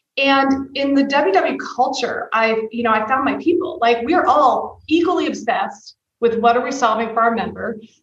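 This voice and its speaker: A woman at a high pitch, with ordinary pitch variation and hardly any pauses, in audible room echo. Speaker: tech executive. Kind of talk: interview. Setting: podcast. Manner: fast; animated.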